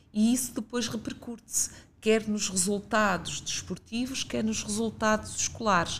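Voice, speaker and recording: This woman has a fairly high voice that is somewhat breathy. She talks at a moderate pace with fairly even intonation. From northern Portugal, Guimarães (Minho). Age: 50s. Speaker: regional director of a youth and sports institute, former philosophy teacher. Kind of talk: interview.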